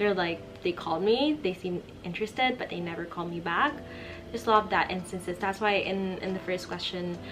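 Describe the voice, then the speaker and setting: Over music in the background, a woman with a Filipino accent speaks fairly quickly at a medium pitch with ordinary pitch variation. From Philippines. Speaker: vlogger. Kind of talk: casual Q&A vlog. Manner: conversational with fillers.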